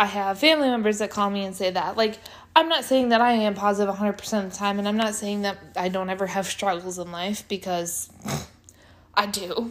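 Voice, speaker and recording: Talking at a fairly quick pace, a woman uses ordinary pitch variation. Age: 20s. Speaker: podcast host. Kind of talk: casual solo monologue. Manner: animated, high-energy.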